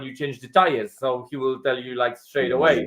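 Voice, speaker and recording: At a moderate pace, a man speaks in a fairly high pitch with fairly even intonation. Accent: Polish. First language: Polish. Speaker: property investor. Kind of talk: podcast interview.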